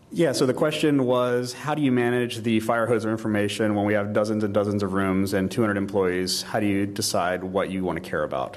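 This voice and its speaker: There is noticeable background noise as a man talks at a fairly quick pace. His fairly low pitch has ordinary variation. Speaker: conference speaker. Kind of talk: audience Q&A; conference talk. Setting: stage with audience. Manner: fast.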